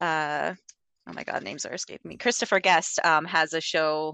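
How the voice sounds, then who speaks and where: A woman's very deep, low voice. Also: dry, close sound with no echo, quiet background. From Alberta, Canada. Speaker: podcaster. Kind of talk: casual chat.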